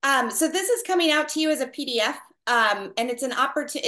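A woman projects a raised voice with a bright, sharp tone at a fairly quick pace, using ordinary pitch variation against a quiet background. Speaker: network marketing team leader. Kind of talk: group call briefing. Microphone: video call.

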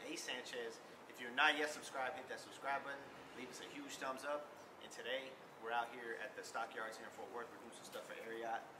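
A man delivers fairly quick speech in a flat monotone, with noticeable noise in the background. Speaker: vlogger. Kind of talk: casual vlog chat. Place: street.

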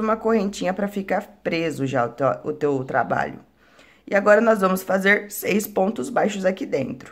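At a moderate pace, a woman speaks at a medium pitch with lively intonation and vocal fry. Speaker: crochet instructor. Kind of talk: tutorial.

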